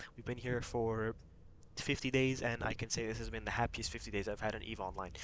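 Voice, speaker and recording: A man speaks softly at a medium pitch. His intonation is monotone and flat. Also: fairly quick pace. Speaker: gaming YouTuber and corporation leader. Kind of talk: casual promotional explainer. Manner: quiet, talking softly late at night; many fillers like um and uh.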